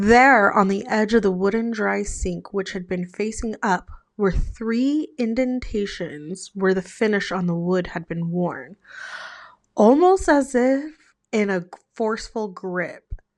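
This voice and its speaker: Soft-spoken and fairly slow, the voice comes through over a quiet background. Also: woman, medium pitch for a woman, ordinary pitch variation. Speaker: ASMR horror storytime creator. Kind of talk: horror storytime reading Reddit stories. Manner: soft-spoken, ASMR style.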